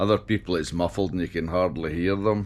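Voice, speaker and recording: A man speaks with a Scottish accent. The recording is very clean, with a silent background. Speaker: motorcycle vlogger. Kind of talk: casual vlog. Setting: on a motorcycle, helmet camera. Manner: hesitant, with fillers.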